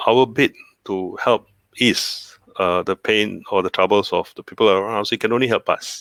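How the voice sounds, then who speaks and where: A man at a moderate pace, in a dry, close sound with no echo on a very clean recording with a silent background. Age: 60s. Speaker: cancer survivor. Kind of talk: interview. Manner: hesitant, many fillers.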